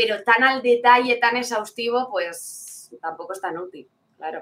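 A woman with a fairly high pitch speaks in a bright, sharp tone, her pitch varying in an ordinary way. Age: 20s. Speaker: esports caster and streamer. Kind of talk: interview.

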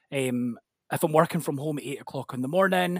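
Recorded very cleanly against a silent background, with a dry, close sound and no echo, a man with a Scottish accent talks at a fairly high pitch and a fairly quick pace, with ordinary pitch variation. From Scotland. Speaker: podcast guest sharing sobriety story. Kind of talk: personal testimony in casual chat.

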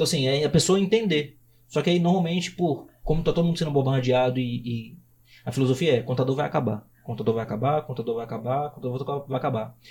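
Somewhat breathy, a man's voice races along at a very fast pace. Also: medium pitch for a man, ordinary pitch variation. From Brazil, Belo Horizonte. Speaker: accounting firm founder. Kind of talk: podcast interview.

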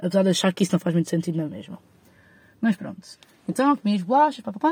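In an Azorean accent, the speaker talks at a fairly quick pace with lively intonation and a somewhat breathy, dark, mellow tone, the sound dry and close with no echo. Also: woman. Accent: São Miguel Azorean. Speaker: podcaster. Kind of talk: casual solo monologue. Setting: in a parked car.

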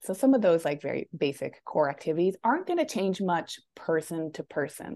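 A woman's ordinary speaking voice, fairly low in pitch, at a moderate pace against a quiet background. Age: 30s. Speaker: weight loss coach. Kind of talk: casual interview chat.

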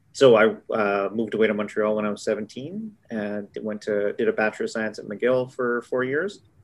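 A man's unremarkable speaking voice, fairly low in pitch, at a moderate pace with fairly even intonation and hardly any pauses. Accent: Canadian. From Manitoba, Canada (Brandon, Winnipeg). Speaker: critical care physician. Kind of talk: interview. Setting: video call.

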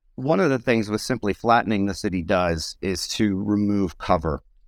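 An ordinary speaking voice from a man with an American accent, fairly low in pitch, at a moderate pace. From United States. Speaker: military veteran and analyst. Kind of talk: briefing. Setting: online audio room.

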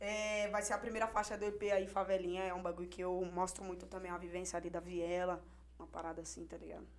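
A woman at a very fast pace, with monotone, flat intonation and noticeable background noise. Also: medium pitch for a woman, big swings in loudness. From Hortolândia, interior of São Paulo state, Brazil. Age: 20s. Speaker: rapper. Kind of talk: casual chat.

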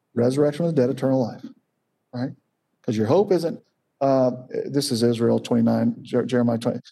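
The voice has a dark, mellow tone and ordinary pitch variation, moving at a fairly quick pace broken by long, frequent pauses. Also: man, medium pitch for a man. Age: 50s. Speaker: seminary professor and Bible teacher. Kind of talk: Bible study teaching. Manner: casual with many fillers.

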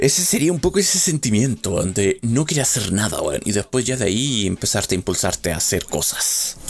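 A man with a Chilean accent talks with very wide pitch swings. Noticeable background noise runs behind him. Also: medium pitch for a man. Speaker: podcaster. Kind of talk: solo monologue. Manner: halting.

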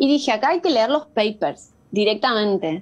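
An unremarkable speaking voice belongs to a woman with a fairly high pitch, ordinary pitch variation, and a moderate pace. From Argentina, rural Buenos Aires province. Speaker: screen-use parenting educator. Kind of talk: interview.

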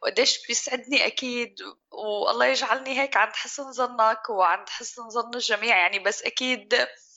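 Over noticeable background noise, a woman talks at a fairly slow pace with hardly any pauses. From Syria. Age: 30s. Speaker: chef and restaurant owner. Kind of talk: interview conversation.

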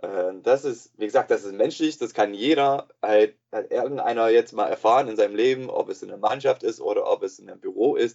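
Here a man speaks with an English accent. His pace is moderate. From USA. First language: English (speaking German). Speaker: sports psychologist. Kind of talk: interview. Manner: halting, many filler sounds.

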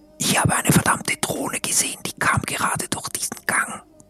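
Putting on a raspy character voice, a man talks at a fairly quick pace. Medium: actual play. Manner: hushed, anxious, fearful.

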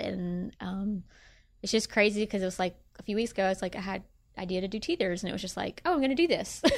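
In a Memphis accent, a woman speaks at a very fast pace with medium pitch and ordinary pitch variation. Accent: US Southern (Memphis). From Tennessee (Bartlett, Memphis area). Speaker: small business owner. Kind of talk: interview.

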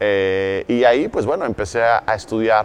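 A man is speaking. He has a Mexican accent. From Mexico City. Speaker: network marketing entrepreneur. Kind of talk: interview.

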